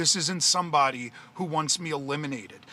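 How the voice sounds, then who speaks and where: A man with an American accent speaks at a fairly quick pace in a fairly high pitch, his tone animated. His pitch varies in an ordinary way, and there is noticeable background noise. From US Northeast, central New Jersey. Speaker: political commentator, livestreamer. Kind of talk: livestream rant. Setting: live video stream. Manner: loud.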